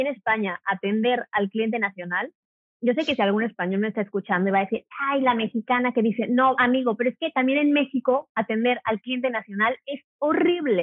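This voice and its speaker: Her pitch fairly high with ordinary variation, a woman talks at a fairly quick pace in an unremarkable speaking voice. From Mexico, Cuernavaca. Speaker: hotel worker and video creator. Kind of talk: casual interview. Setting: phone call.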